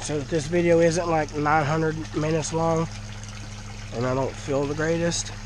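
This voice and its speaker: A Southern US accent against noticeable background noise. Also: fairly slow pace. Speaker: fish keeper and video creator. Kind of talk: casual video vlog. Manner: nervous, excited.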